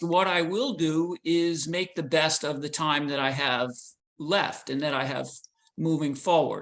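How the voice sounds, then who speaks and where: A man's normal speaking voice, fairly high in pitch with ordinary pitch variation, at a fairly slow pace over a quiet background. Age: 50s. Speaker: ultra runner. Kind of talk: interview answer.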